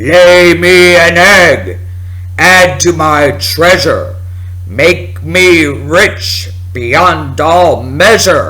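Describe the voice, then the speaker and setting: Putting on a character voice, a man speaks very slowly at a fairly high pitch. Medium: read story. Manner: booming, commanding.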